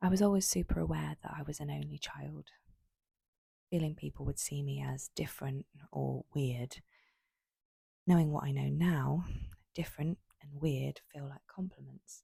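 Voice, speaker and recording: A soft-spoken woman talks with long, frequent pauses and big swings in loudness, in a dry, close sound with no echo. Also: moderate pace. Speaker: creator of a raw-thoughts poetry and short-story channel. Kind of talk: spoken-word poetry reading of personal reflections.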